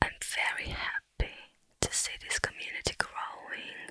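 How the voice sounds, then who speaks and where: A woman whispers in a gentle tone at a fairly slow pace, with noticeable background noise behind her. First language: not English. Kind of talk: ASMR Q&A talking to camera. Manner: gentle, soft-spoken, whispered.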